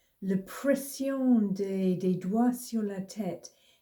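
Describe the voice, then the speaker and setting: A woman with a strong British accent speaks very slowly, her tone dark and mellow. She sounds somewhat breathy, with ordinary pitch variation. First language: English (speaking French). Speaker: mindfulness teacher. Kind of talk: casual tutorial. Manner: halting, with hesitations and repeated words.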